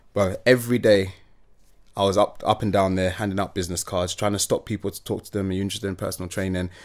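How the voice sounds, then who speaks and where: A man's fairly low, monotone, flat voice at a very fast pace. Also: very clean recording, silent background. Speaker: social media influencer. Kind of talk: casual interview chat.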